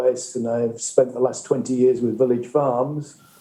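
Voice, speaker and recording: A man speaks with a northern English accent. Audible room echo surrounds his voice. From northern England. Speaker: greenhouse industry researcher. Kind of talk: panel discussion. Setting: conference stage.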